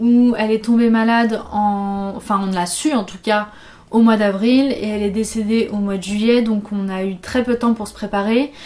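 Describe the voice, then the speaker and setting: A woman speaks at a moderate pace in a dark, mellow tone. Her intonation stays monotone and flat. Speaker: video host. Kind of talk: casual vlog chat on a serious topic. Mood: calm, serious, gentle. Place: home room.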